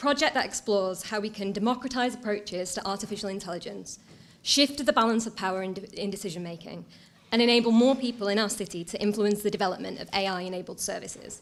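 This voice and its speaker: Speaking at a very fast pace with a Mancunian accent, a woman keeps to medium pitch with ordinary pitch variation. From Manchester, northern England. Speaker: council digital strategy officer. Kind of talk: conference talk. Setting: stage with audience.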